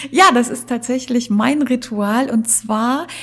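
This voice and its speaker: A woman's high voice with lively intonation at a very slow pace. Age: 50s. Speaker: wedding celebrant. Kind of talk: interview.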